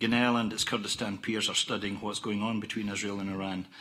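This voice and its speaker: Audible room echo surrounds a man speaking at a fairly quick pace. His tone is bright and sharp, and his intonation fairly even. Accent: Scottish. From Scotland. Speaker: oil company executive. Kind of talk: conference presentation. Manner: formal.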